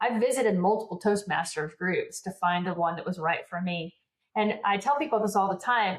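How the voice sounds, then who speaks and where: The somewhat breathy voice moves at a fairly quick pace with ordinary pitch variation. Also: woman, medium pitch for a woman. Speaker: business coach and public speaker. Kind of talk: podcast interview. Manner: fast.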